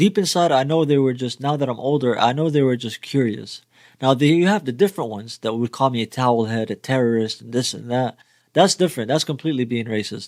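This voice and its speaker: Speaking at a very fast pace with a slight Arabic accent, a man's voice shows ordinary pitch variation in a dry, close sound with no echo, on a very clean recording over a silent background. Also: medium pitch for a man. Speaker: music reaction youtuber. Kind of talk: reaction video commentary.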